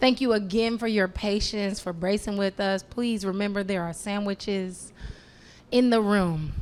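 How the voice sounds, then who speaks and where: A woman with an American accent speaks at a fairly slow pace and medium pitch, in an unremarkable speaking voice. The recording is very clean, with a silent background. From Chicago, south side. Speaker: moderator, data journalist. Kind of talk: event moderation, Q&A. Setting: stage with audience. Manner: casual, lively.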